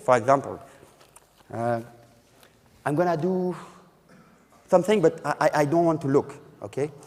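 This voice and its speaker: The man speaks with a French accent. His pitch is fairly high. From France. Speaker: magician. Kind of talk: magic lecture with live demonstration. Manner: halting.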